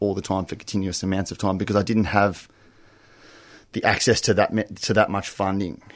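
This man has a fairly low voice and an Australian accent. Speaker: recovering gambler, GA member. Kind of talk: testimony. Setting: radio studio.

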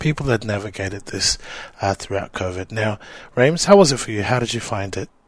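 A man with an Australian accent talks in a medium pitch. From Samoan heritage. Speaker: community radio podcast host. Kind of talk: interview. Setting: radio studio.

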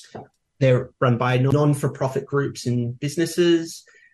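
A man's somewhat breathy voice at a medium pitch. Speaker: housing union delegate. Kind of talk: interview.

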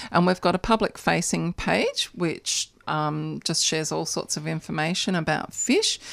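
With an Australian accent, a woman is heard on a very clean recording against a silent background. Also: moderate pace. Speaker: animal advocacy organiser. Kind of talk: radio interview. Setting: radio studio.

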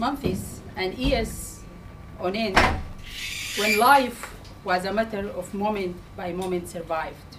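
The speaker goes very slowly, with ordinary pitch variation, over noticeable background noise. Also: woman. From Sudan. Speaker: community campaigner. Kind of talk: public speech. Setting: public meeting with audience.

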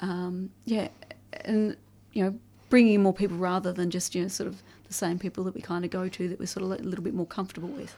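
Talking at a very fast pace, a woman with an Australian accent keeps a medium pitch and fairly even intonation. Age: 40s. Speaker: family violence survivor advocate. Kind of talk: interview.

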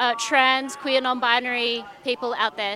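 A woman with a high pitch talks at a fairly slow pace. Noticeable background noise is present. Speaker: radio reporter. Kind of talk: live field report. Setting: outdoors at a march. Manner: halting, many fillers.

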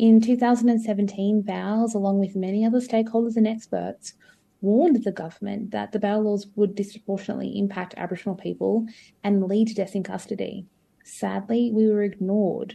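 A woman with an Australian accent speaks fairly quickly at medium pitch in a monotone, flat way. Her tone is dark, mellow and somewhat breathy against a quiet background. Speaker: legal service CEO. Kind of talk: interview.

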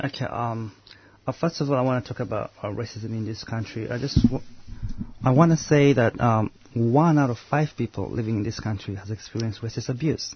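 Somewhat breathy, a man speaks at a fairly quick pace and a medium pitch. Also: ordinary pitch variation. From Uganda. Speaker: anti-racism activist. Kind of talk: radio interview. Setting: studio.

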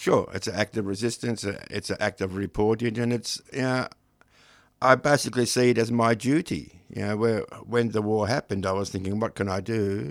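With an Australian accent, a man talks at a fairly quick pace in a fairly low voice with ordinary pitch variation, on a very clean recording with a silent background. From Australia, Melbourne. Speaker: poet and creative writing teacher. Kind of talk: radio interview. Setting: radio studio. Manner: halting.

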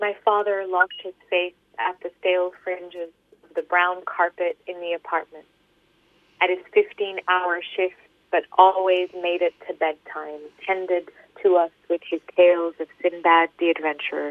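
A woman speaks in a fairly low voice at a fairly slow pace. Her intonation is monotone and flat, with big swings in loudness. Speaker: poet and author. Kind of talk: radio interview.

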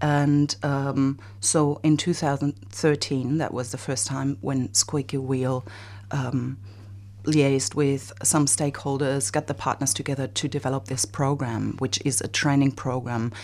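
With a German accent, a woman speaks fairly slowly in a very deep, low voice with ordinary pitch variation. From Germany. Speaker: bicycle advocacy organization director. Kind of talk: radio interview.

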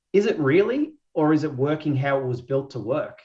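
In an Australian accent, a man speaks with lively intonation and a somewhat breathy voice. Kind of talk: panel discussion. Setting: video call webinar.

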